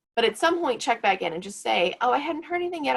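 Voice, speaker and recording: A woman speaks at a very fast pace with vocal fry. Her pitch swings very widely. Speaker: career advisor. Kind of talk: workshop presentation.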